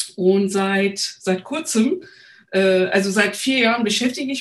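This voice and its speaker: Speaking at a fairly slow pace, a woman has a fairly high, somewhat breathy voice with ordinary pitch variation. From Turkey, Istanbul. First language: Turkish (speaking German). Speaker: agile coach. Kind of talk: interview. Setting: remote recording. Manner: hesitant, many fillers.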